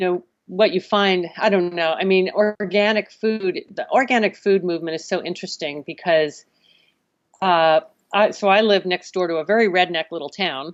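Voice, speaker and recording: A woman with an American accent uses a plain, everyday voice at a moderate pace, medium pitch and ordinary pitch variation. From US Northeast, Connecticut. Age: 60s. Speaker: marine biologist and salmon farm activist. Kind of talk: podcast interview.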